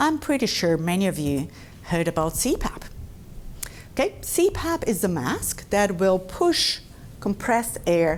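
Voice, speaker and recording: A woman with a Brazilian Portuguese accent speaks at a moderate pace, her pitch swinging very widely. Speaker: dentist. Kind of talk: lecture. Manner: conversational.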